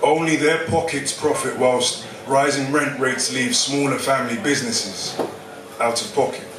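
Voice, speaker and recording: In a London accent, a man with fairly high pitch talks at a moderate pace with ordinary pitch variation, with audible room echo and noticeable background noise. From London, Hackney. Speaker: spoken word poet. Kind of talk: spoken word performance. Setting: stage with audience.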